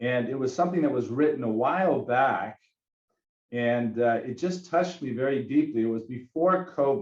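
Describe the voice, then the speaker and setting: At a moderate pace, a man with an ordinary speaking voice talks with ordinary pitch variation. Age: 50s. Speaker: Pilates educator and physical therapist. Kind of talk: webinar talk.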